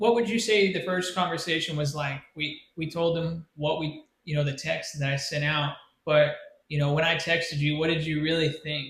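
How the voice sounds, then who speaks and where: A man talks at a moderate pace in an American accent, with an ordinary speaking voice. His pitch is fairly high and his intonation fairly even. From United States. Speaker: podcast co-host. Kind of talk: casual chat.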